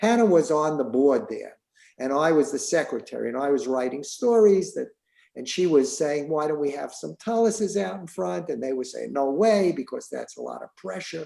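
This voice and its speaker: A man with a New York accent, a fairly high pitch, a dark, mellow tone and very wide pitch swings. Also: moderate pace. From New York City, the Bronx. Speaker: synagogue member, former synagogue president. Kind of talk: casual interview. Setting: video call. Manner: halting.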